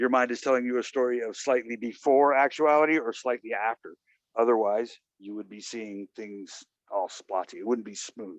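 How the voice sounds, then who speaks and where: With a normal speaking voice of medium pitch, a man talks at a moderate pace with ordinary pitch variation and big swings in loudness, in a dry, close sound with no echo. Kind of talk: casual philosophical discussion.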